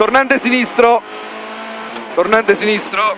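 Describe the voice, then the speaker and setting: A man's high-pitched voice, fairly even in intonation, at a moderate pace amid noticeable background noise. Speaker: rally co-driver. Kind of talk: rally pace notes read in the car. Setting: inside a rally car.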